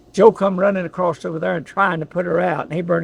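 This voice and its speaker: Over noticeable background noise, a man with a high pitch and an Appalachian accent talks at a very fast pace. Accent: Southern American (Appalachian). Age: 80s+. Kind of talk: storytelling, family history recollection. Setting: in a car, outdoors.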